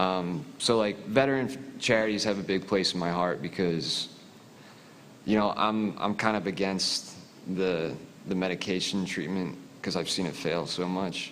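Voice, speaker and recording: The speaker has a Philadelphia accent and ordinary pitch variation at a moderate pace. Room echo can be heard. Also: man, very deep, low pitch for a man. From US Northeast (Philadelphia). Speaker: military veteran, audience questioner. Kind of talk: audience question at panel.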